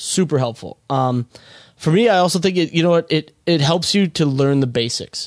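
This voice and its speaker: This is a man with a normal speaking voice and an American accent. His pitch is fairly high, with ordinary pitch variation, at a moderate pace. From Minnesota. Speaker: podcast co-host, filmmaker. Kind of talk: casual chat.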